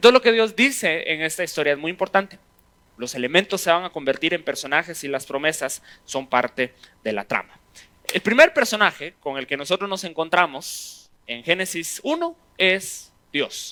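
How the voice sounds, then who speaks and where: A high-pitched man speaks at a moderate pace in a bright, sharp, animated tone, his intonation lively. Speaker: pastor teaching a Bible class. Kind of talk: sermon-style Bible teaching.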